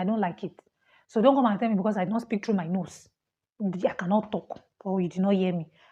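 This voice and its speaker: A woman with a Nigerian accent speaks at a fairly quick pace in a medium pitch. Her tone is dark and mellow, and somewhat breathy. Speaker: international student vlogger. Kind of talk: personal vlog, casual talk to camera. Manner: fast; animated.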